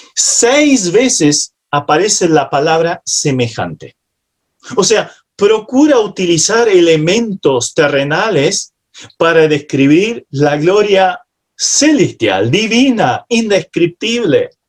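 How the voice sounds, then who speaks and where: A man with a non-native accent, very slow in pace, high in pitch, with very wide pitch swings. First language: not Spanish (speaking Spanish). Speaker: preacher. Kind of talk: sermon. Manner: halting at times.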